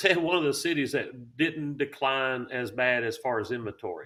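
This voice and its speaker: A man with a Southern accent at a fairly high pitch, moderate pace and ordinary pitch variation. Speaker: realtor. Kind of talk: casual chat.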